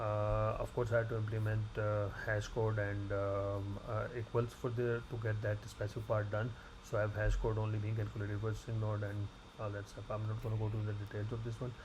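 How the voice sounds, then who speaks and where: Speaking at a fairly quick pace, a man with a fairly low pitch keeps a monotone, flat intonation, and audible room echo surrounds him. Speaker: graduate student. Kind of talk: tutorial. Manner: fast; halting.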